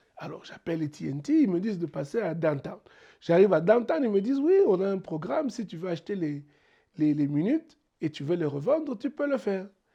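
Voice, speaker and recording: A man with a Congolese accent talks at a fairly quick pace. His pitch sits high and swings very widely. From DR Congo, Mbuji-Mayi. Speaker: entrepreneur. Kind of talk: interview. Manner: halting, many repetitions.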